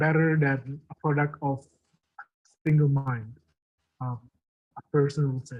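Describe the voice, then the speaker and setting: The voice is somewhat breathy, moving at a fairly slow pace with fairly even intonation. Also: man. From Indonesia. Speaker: arbitration law lecturer. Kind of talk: lecture.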